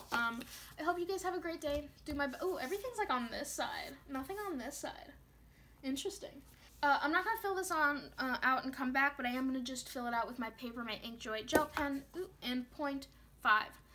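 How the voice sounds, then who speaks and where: Her voice is raised and projected, with a bright, sharp tone and high pitch. The woman talks at a fairly quick pace with lively intonation. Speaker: planner vlogger and shop owner. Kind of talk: casual plan-with-me vlog. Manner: fast, wired.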